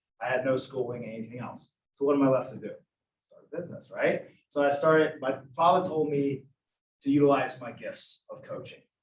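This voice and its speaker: A man with an American accent talks at a fairly quick pace, somewhat breathy and with fairly even intonation. His loudness swings widely. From US South, Georgia. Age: 30s. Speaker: boxing gym business owner. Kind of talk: interview.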